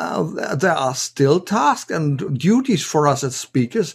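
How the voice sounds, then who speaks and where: Speaking with a German accent, a man talks at a very slow pace with hardly any pauses, a fairly high pitch, lively intonation and a somewhat breathy sound. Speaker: podcast host, professional speaker. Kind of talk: interview. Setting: video call.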